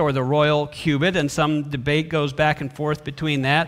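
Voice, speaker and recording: A man's voice at a moderate pace, with a quiet background. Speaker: pastor. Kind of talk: sermon. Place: church. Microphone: podium.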